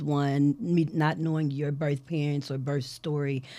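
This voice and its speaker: Here is a woman with an American accent and a very deep, low pitch. Her tone is dark and mellow. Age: 40s. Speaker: podcast host. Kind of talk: interview. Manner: animated.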